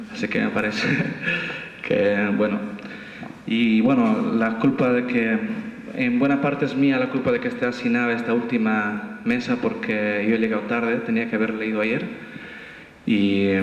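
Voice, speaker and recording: A man at medium pitch talks fairly slowly in a flat monotone at very even loudness, with long, frequent pauses, audible room echo and light background noise. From Bolivia. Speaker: poet. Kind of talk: poetry reading at a festival, after a casual joking intro. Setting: stage with audience. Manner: rhythmic, staccato listing of images in the poem. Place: hall. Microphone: camera far.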